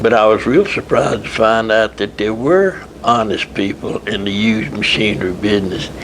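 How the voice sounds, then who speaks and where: A man at a moderate pace, fairly low in pitch with ordinary pitch variation, against noticeable background noise. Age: 80s+. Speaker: retired textile machinery businessman. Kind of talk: interview answer.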